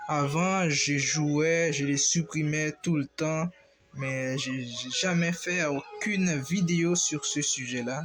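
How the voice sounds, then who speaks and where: Against noticeable background noise, a man talks at a very slow pace with a fairly high pitch and fairly even intonation. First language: not French (speaking French). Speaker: gaming YouTuber. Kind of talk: gameplay tutorial. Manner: halting.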